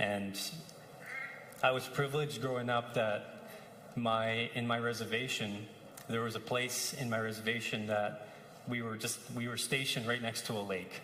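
A man's medium-pitched, monotone, flat delivery at a moderate pace with long, frequent pauses, amid audible room echo and noticeable background noise. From Saskatchewan First Nation reserve, Canada. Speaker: assistant pastor. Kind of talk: sermon. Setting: church service. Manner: casual, warm with laughs.

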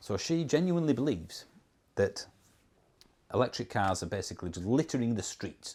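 A man with a Yorkshire accent talks at a fairly quick pace in a medium pitch, with very wide pitch swings and long, frequent pauses, on a very clean recording with a silent background. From Yorkshire, northern England. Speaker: YouTuber on electric cars. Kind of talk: casual talk to camera. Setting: on holiday, talking to camera.

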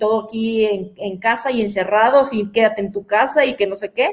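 She talks at a moderate pace in an unremarkable speaking voice. Her fairly high pitch shows ordinary variation. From Mexico, Guadalajara. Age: 40s. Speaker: professional athlete. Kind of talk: interview.

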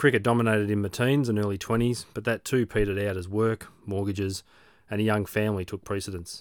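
A man with an Australian accent speaks at a very fast pace in a fairly low pitch. His intonation is fairly even, and the recording is very clean with a silent background. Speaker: podcast host, amateur triathlete. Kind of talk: scripted narration.

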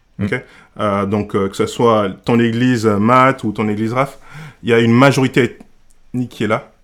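A man speaks at a medium pitch and moderate pace. His intonation is fairly even, with long, frequent pauses. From Senegal. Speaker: church member and food blogger. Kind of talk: casual discussion. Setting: podcast recording. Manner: halting.

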